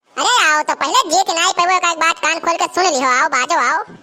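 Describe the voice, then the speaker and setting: A woman uses a squeaky, cartoonish character voice, extremely high in pitch and very fast. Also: ordinary pitch variation. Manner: sharp-tongued, defiant.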